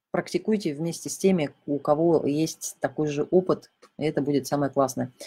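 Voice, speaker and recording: Very deep and low in pitch, a woman speaks with a dark, mellow tone, fairly even intonation, and a moderate pace. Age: 40s. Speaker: intermittent fasting coach and blogger. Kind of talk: live-stream Q&A. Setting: live broadcast.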